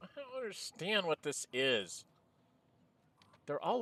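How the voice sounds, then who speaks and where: Quiet and heard dry and close with no echo, a man's voice swings very widely in pitch. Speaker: gameplay commentator. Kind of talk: casual gameplay commentary. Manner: quiet, low-volume.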